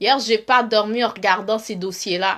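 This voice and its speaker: A woman speaks in a bright, sharp, animated tone. Her pace is fairly slow, with ordinary pitch variation. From Montreal, Quebec. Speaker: live streamer, relationship commentator. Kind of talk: casual live stream monologue. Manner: animated, repetitive.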